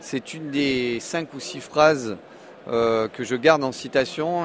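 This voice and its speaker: Over noticeable background noise, a man with a medium pitch talks in a fairly even intonation. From Monaco. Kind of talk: interview.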